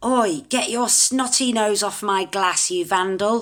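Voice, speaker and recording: A female-sounding voice puts on a growling character voice at a medium pitch. The delivery moves at a fairly slow pace. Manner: menacing, scolding.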